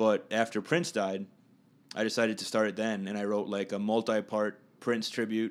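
On a very clean recording with a silent background, a man with an American accent and fairly low pitch talks at a fairly quick pace in a normal speaking voice. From Minnesota, Minneapolis area. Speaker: local dance party host and performer. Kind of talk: casual interview. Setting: apartment, informal recording.

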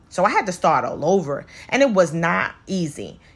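A woman speaks in an animated tone. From New York City (Brooklyn). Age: 40s. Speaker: podcast host and cosmetologist. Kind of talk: casual motivational monologue.

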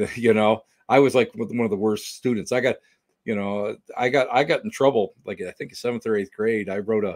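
A man with an ordinary speaking voice and medium pitch talks at a fairly quick pace with fairly even intonation. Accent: American. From Western New York. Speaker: paranormal investigator and author. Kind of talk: casual interview chat.

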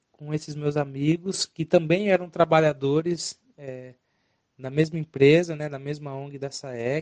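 The man's pitch is fairly high, his intonation fairly even and his pace fairly slow in an ordinary speaking voice. His loudness swings widely, and the sound is dry and close with no echo. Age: 20s. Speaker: harm reduction worker. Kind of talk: testimony.

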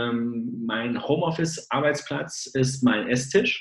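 Very slowly, the man delivers his words at a medium pitch. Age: 30s. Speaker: sales engineer. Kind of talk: interview. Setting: video call. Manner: hesitant, many filler sounds.

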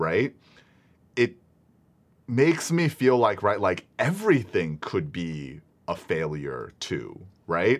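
Speech moves at a fairly slow pace. Its pitch swings very widely up and down. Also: man. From Singapore. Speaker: former pastor and podcast co-host. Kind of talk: casual theological discussion.

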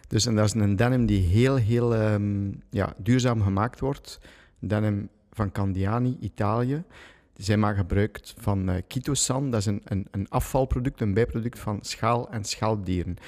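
A man with an ordinary speaking voice, fairly low pitch, fairly slow pace and fairly even intonation, in a very clean recording with a silent background. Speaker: jeans maker and entrepreneur. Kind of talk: casual chat.

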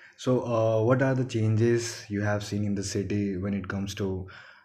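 With fairly even intonation, a man's fairly low voice carries through noticeable background noise. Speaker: podcast host. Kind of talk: casual interview chat.

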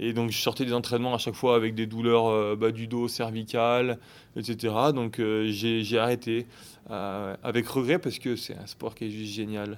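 At a medium pitch and moderate pace, a man speaks in a flat monotone in a very clean recording with a silent background. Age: 30s. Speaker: fitness coach. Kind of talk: interview. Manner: halting.

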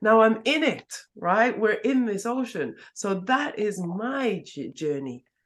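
A woman's fairly high voice with vocal fry, lively intonation and a very slow pace. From northeast England. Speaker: psychotherapist. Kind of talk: interview conversation.

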